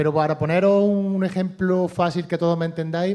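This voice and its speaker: At a moderate pace, a man with an Andalusian accent speaks in a dark, mellow tone. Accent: Andalusian Spanish (Córdoba). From Córdoba, Andalusia, Spain. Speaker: startup CEO. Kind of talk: panel talk.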